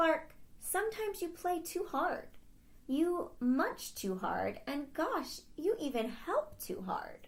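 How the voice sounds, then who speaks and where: Fairly slow delivery in a put-on character voice. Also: female-sounding voice, extremely high pitch for a woman. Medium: read story.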